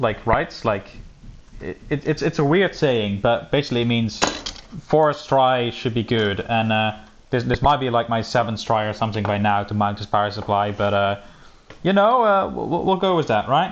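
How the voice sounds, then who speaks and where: At a moderate pace, a man speaks with lively intonation over noticeable background noise. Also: medium pitch for a man. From Belgium (Flanders). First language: Dutch (Flemish). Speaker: streamer building a PC. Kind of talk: casual live stream chat. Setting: live stream. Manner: casual, many fillers and restarts.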